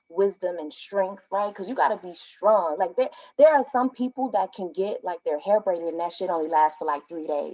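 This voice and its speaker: With a normal speaking voice and an American accent, a woman of medium pitch talks at a fairly quick pace, her intonation lively and her loudness swinging widely. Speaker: poet. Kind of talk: casual talk introducing a poem.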